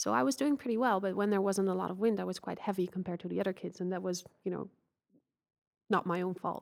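Very fast speech in a Dutch accent with ordinary pitch variation, on a very clean recording with a silent background. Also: woman. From Netherlands. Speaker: Olympic sailor. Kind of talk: interview.

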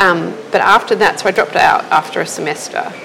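Over noticeable background noise, a woman speaks at a moderate pace with an Australian accent. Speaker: illustrator and designer. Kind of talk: casual interview chat. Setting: at her restaurant.

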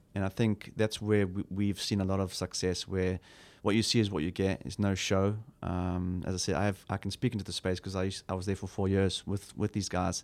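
A man's very deep, low voice in a South African accent, fairly quick and monotone, on a very clean recording with a silent background. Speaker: church pastor. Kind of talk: casual interview chat.

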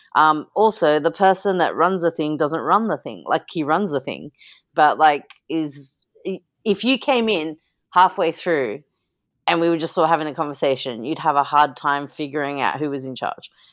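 With an Australian accent, a woman speaks at a very deep, low pitch with ordinary pitch variation, in a very clean recording over a silent background. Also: moderate pace. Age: 30s. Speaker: artist and podcaster. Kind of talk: casual chat.

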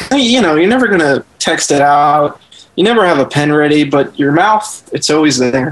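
Over noticeable background noise, a man speaks at a moderate pace with lively intonation and very even loudness. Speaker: writer. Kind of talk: casual chat.

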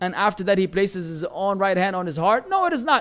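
A man talks at a very fast pace. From Lebanon. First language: Arabic. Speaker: Islamic teacher. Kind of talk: religious lecture.

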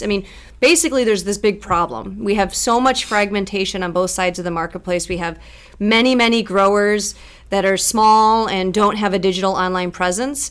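An ordinary speaking voice from a woman with an American accent, medium in pitch, fairly even in intonation and fairly quick in pace. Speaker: tech startup founder. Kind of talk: casual interview.

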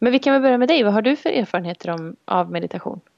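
Against a quiet background, a woman's voice comes through dry and close with no echo. Her pitch varies in an ordinary way. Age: 30s. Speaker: fitness and health coach, podcast co-host. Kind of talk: casual chat. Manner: quiet, cautious.

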